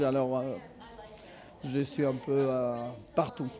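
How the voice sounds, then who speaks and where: A man's voice, fairly high in pitch. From Argentina. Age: 50s. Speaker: tennis coach. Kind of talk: interview. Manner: hesitant, many fillers.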